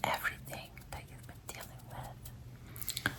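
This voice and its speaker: Whispering at a very slow pace. Noticeable background noise sits behind it. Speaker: ASMR creator. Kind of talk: ASMR reiki healing guided visualization. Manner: soft-spoken, whispered, slow.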